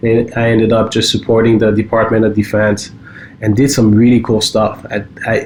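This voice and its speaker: A man with a French accent speaks at a moderate pace and a medium pitch. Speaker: cybersecurity company co-founder. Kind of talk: casual podcast chat. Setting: home basement studio.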